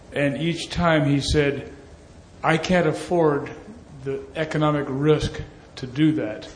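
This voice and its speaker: Over noticeable background noise, a man with a fairly high pitch speaks very slowly in a monotone, flat way. He leaves long, frequent pauses. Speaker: audience member, engineer. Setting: conference hall with audience.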